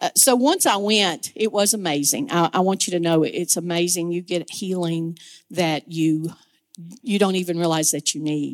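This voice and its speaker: A woman speaks in a plain, everyday voice with ordinary pitch variation, recorded with a dry, close sound and no echo. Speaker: ministry volunteer. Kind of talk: testimony. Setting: church.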